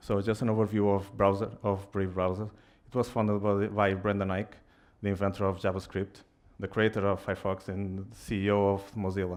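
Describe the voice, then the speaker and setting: A man with a non-native accent speaks at a fairly low pitch in monotone, flat intonation, against a quiet background. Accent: noticeable foreign accent in English. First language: Portuguese. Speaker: software engineer, tech speaker. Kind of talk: tech meetup talk. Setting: stage with audience. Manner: halting, many fillers.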